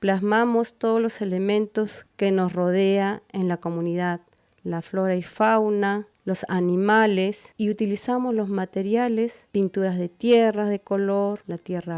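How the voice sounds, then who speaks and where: At a very slow pace, a woman talks in a dark, mellow tone at medium pitch with fairly even intonation. The sound is dry and close with no echo, over a quiet background. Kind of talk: scripted narration.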